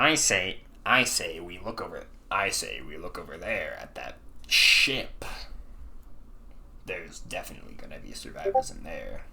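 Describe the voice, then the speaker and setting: A raspy, put-on character voice at a moderate pace, with long, frequent pauses and clear background noise. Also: man. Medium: actual play.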